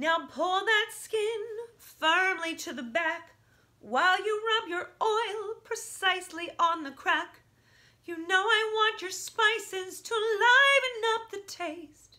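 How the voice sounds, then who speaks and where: Against a quiet background, a woman projects a raised voice very slowly, her tone bright and sharp, her intonation lively and her loudness swinging widely. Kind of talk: comic song performance. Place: home room. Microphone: phone near.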